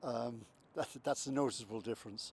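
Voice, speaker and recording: In a Limerick accent, a man talks at a fairly quick pace with fairly even intonation. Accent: Irish (Limerick). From Ireland, County Limerick. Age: 70s. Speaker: heart patient. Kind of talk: testimony. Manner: halting.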